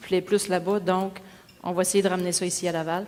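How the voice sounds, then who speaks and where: Woman at a fairly quick pace, flat, monotone intonation. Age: 40s. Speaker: mayoral candidate, social worker. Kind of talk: debate opening statement. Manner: casual, hesitant fillers.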